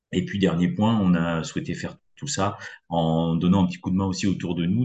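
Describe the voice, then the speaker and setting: A man with a very deep, low pitch, ordinary pitch variation and a fairly quick pace. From western France, Poitou. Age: 50s. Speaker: business network founder. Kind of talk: interview. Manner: hesitant, many fillers.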